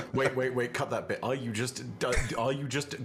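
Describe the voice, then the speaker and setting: Over noticeable background noise, someone talks at a fairly quick pace. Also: man. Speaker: YouTube content creator, tabletop role-play player. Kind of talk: casual chat. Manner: animated.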